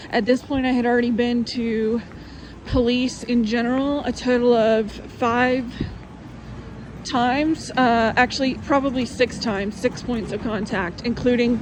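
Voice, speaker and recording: Noticeable background noise sits under a woman's high-pitched voice. She talks at a fairly slow pace with fairly even intonation. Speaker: testimony vlogger. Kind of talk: testimony.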